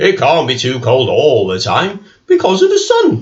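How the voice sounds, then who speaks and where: A man speaks at a moderate pace. He uses a put-on character voice. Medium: read story. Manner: brisk, fussy.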